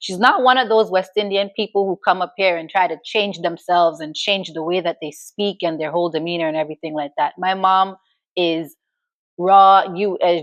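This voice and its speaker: A woman with a normal speaking voice and an American accent talks at a medium pitch and moderate pace with fairly even intonation, the sound dry and close with no echo. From New York, Grenadian household. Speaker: talk show host. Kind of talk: personal storytelling monologue. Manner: casual, conversational.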